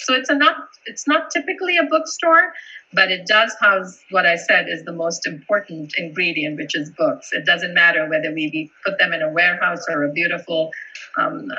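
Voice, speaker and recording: The pace is moderate. There is noticeable background noise. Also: woman. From India. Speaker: book distributor business owner. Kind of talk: interview. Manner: hesitant, many fillers.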